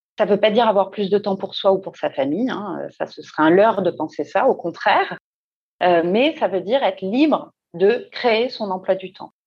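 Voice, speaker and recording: A woman with a normal speaking voice talks at medium pitch and a moderate pace. Her intonation is lively, and her loudness swings widely. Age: 40s. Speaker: career coach. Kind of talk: interview.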